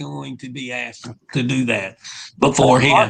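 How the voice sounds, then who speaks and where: This man has a Southern US accent and a bright, sharp tone. He keeps a moderate pace with ordinary pitch variation. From Louisiana, Shreveport. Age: old. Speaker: rock singer. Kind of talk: casual interview chat.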